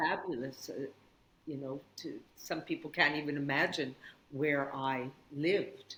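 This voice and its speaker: A woman with a Canadian accent, a very deep, low pitch, fairly even intonation, and a fairly slow pace. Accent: Canadian, kept after 36 years in Australia. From Canada, northern Saskatchewan. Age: 60s. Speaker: yoga teacher. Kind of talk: casual chat.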